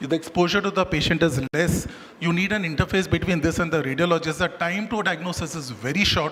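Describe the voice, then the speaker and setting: A man talks at a very fast pace in a high voice with ordinary pitch variation. Noticeable background noise sits behind him. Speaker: doctor giving a medical talk. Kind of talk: lecture.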